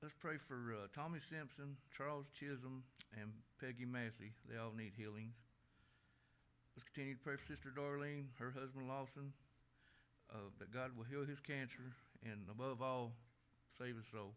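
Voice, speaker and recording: A man speaks at a moderate pace with fairly even intonation, leaving long, frequent pauses. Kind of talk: prayer request announcements. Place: church. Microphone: podium.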